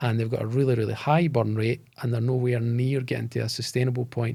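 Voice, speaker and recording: Dark, mellow male voice at medium pitch with monotone, flat intonation. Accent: Scottish. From Scotland, Bo'ness (between Edinburgh and Glasgow). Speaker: tech company founder and CEO. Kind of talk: podcast interview.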